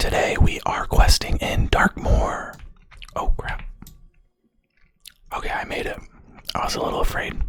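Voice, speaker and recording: The voice is whispering at a moderate pace. Long, frequent pauses break up the speech. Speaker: ASMR content creator. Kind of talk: casual ASMR talk to camera while gaming. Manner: soft-spoken, whispered.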